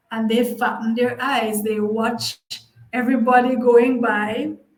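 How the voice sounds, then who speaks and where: The speech goes at a fairly slow pace with monotone, flat intonation. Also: woman. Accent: Jamaican. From Jamaica. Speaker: language teacher. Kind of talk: casual talk to camera. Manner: nostalgic, chatty.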